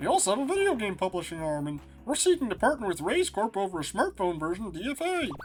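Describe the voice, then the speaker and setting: Using a put-on character voice, a man speaks with high pitch at a very fast pace. Background noise is clearly heard. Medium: game stream. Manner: confident, breezy.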